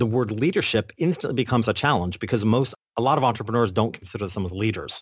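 Speaking at a very fast pace with an American accent, a man with a medium pitch sounds somewhat breathy. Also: ordinary pitch variation, dry, close sound with no echo. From upstate New York. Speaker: business coach and podcaster. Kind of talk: interview conversation.

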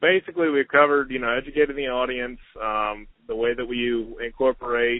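Fairly quick pace from a man with an ordinary speaking voice, medium pitch and fairly even intonation. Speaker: podcast host. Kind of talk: interview. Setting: phone call.

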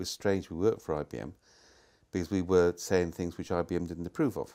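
Speaking at a very fast pace with a Welsh accent, a man uses a very deep, low pitch and ordinary pitch variation on a very clean recording with a silent background. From Wales. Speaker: management consultant and thinker. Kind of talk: conversational interview. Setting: outdoors.

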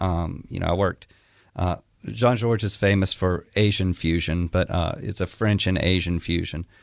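A man with an Alabama accent, very deep and low in pitch, at a moderate pace with ordinary pitch variation, on a very clean recording with a silent background. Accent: Southern US (Alabama). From Alabama, small town. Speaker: chef and restaurant owner. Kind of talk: casual interview chat.

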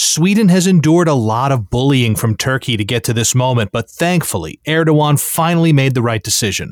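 A man with an ordinary speaking voice and an American accent, medium in pitch, fairly quick with hardly any pauses and lively intonation, on a very clean recording with a silent background and a dry, close sound with no echo. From United States. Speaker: news podcast host. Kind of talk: news reading.

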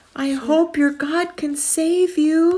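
Someone uses a put-on character voice. It is high-pitched and squeaky. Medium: read story.

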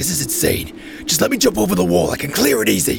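A man puts on a raspy character voice at a very fast pace. Clear background noise runs underneath. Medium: audio drama. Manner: gruff, brash.

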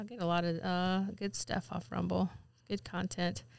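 A woman's medium-pitched voice in a Southern US accent at a moderate pace, on a very clean recording with a silent background. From Mississippi. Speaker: podcast co-host. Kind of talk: casual chat.

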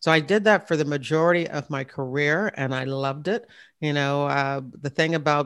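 A woman with an American accent speaks at a moderate pace in a very deep, low pitch with fairly even intonation. The recording is very clean, with a silent background. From Virginia (Hampton area). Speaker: retired FBI agent and podcast host. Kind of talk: interview.

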